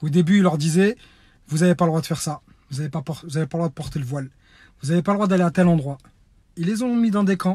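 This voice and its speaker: Over a silent background in a very clean recording, a man with a high pitch and a dark, mellow tone talks very fast, with ordinary pitch variation and big swings in loudness. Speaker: reality TV personality turned activist. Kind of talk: impassioned video message, call to action.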